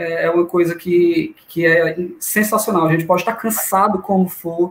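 The speaker is a man. His pitch is high. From Brazil, Fortaleza, Ceará. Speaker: amateur runner. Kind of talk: casual chat.

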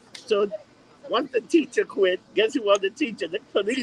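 A man speaks at an extremely high pitch. The sound is dry and close with no echo, though noticeable background noise is present. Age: 40s. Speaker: podcast host. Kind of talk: casual chat.

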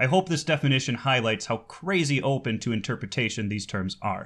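A man talks at a fairly quick pace with lively intonation in a plain, everyday voice, on a very clean recording with a silent background. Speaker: podcast host; baritone singer. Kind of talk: casual interview.

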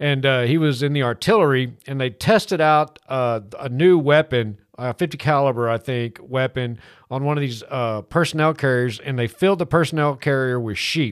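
Here is an ordinary speaking voice with an American accent at a moderate pace. It has ordinary pitch variation and hardly any pauses. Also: man, medium pitch for a man. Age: 50s. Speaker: radio car show host. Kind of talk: casual chat. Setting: studio.

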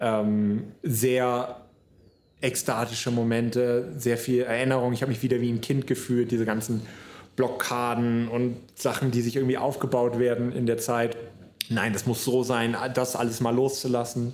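Room echo is audible as a man speaks at a medium pitch and moderate pace. His intonation is monotone and flat, and his loudness stays very even. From northern Germany, near Hamburg. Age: 20s. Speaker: podcaster. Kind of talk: solo podcast monologue. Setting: solo podcast recording. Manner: casual, many fillers.

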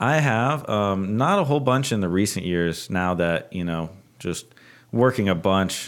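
In an ordinary speaking voice, a man with an American accent talks at a fairly slow pace and a fairly low pitch, with lively intonation. The recording is very clean, with a silent background. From Texas, San Antonio. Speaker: podcast guest. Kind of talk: casual chat.

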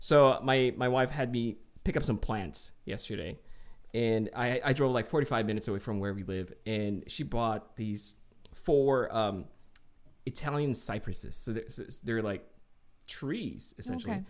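Heard on a very clean recording against a silent background, a man talks fairly slowly at a medium pitch with ordinary pitch variation and long, frequent pauses.

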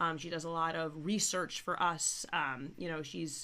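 The raspy voice has a bright, sharp tone and moves at a fairly slow pace. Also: woman, low pitch for a woman, fairly even intonation.

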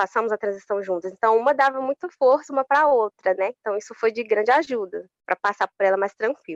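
A woman talks at a very fast pace with hardly any pauses. Her pitch is fairly high with ordinary variation, in a dry, close sound with no echo. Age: 20s. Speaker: public servant and social media influencer. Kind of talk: interview.

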